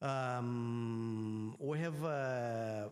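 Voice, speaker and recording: Audible room echo surrounds a man speaking at a medium pitch with a Greek accent. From Greece. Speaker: energy regulator and professor. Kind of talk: conference panel talk. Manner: halting, many fillers.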